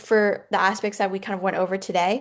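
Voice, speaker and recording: This woman speaks. Her pace is fairly quick. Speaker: writing workshop instructor. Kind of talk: online workshop lesson. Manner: fast; casual, many fillers.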